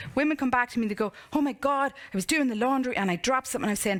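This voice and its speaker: Lively in intonation, a woman speaks at a fairly high pitch. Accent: Irish. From Ireland, County Monaghan. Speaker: motivational speaker and coach. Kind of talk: conference talk with Q&A. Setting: stage with audience. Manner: animated.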